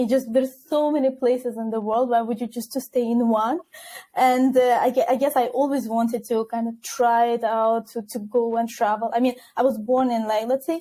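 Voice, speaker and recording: The tone here is dark and mellow. It belongs to a woman whose voice sits high. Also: moderate pace. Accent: non-native. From Azerbaijan, Baku. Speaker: recruiter. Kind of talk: podcast interview. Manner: animated.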